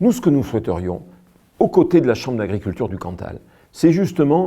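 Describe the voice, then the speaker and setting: A man's dark, mellow voice with vocal fry and very wide pitch swings, very cleanly recorded against a silent background. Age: 60s. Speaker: village mayor. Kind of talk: promotional address to camera.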